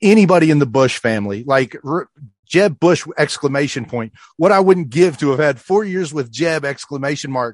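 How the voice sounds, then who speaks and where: A man with an American accent and an unremarkable speaking voice talks at a fairly high pitch, his sound dry and close with no echo against a quiet background. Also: lively intonation, moderate pace. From California. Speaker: radio host and podcaster. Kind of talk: casual chat.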